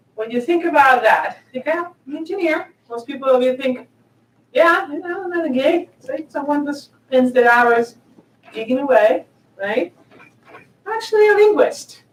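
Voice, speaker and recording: Speaking at a moderate pace with a Spanish accent, a woman uses a high pitch with very wide pitch swings and big swings in loudness. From southern Spain. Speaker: tech executive. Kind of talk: conference talk.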